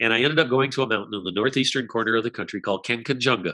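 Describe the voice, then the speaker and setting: A man with an American accent, a medium pitch, and a bright, sharp tone against a quiet background. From Colorado. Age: 70s. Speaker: author and speaker. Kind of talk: interview.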